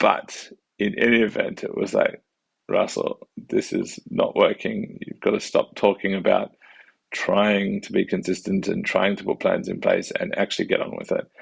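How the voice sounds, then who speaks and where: A man with an Australian accent, in a dry, close sound with no echo. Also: moderate pace. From Western Australia, Perth. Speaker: family doctor and vlogger. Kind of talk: casual vlog monologue. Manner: halting, many fillers.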